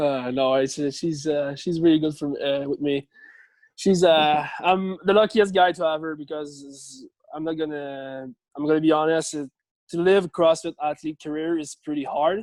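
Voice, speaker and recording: In a very clean recording with a silent background and a dry, close sound without echo, a man speaks at a moderate pace with a fairly high pitch and fairly even intonation. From Quebec. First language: French. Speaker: CrossFit athlete. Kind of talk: interview. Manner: halting.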